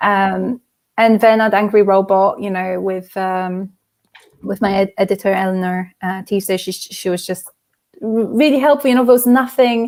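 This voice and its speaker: Speaking at a moderate pace, a woman talks with a slight non-native accent. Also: medium pitch for a woman, ordinary pitch variation. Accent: slight non-native cadence. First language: not English. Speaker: debut fantasy novelist. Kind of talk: interview conversation. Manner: hesitant, many fillers and repeats.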